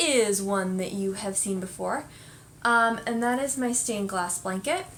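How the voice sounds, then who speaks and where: Audible room echo surrounds a woman as she speaks. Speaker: knitting podcast host. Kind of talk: casual chat.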